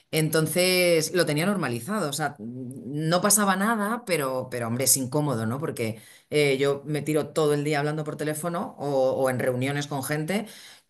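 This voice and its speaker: Lively intonation marks this woman's speech. She barely pauses at all. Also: moderate pace. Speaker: saleswoman and singer. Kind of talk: testimonial interview. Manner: halting, many fillers and repetitions.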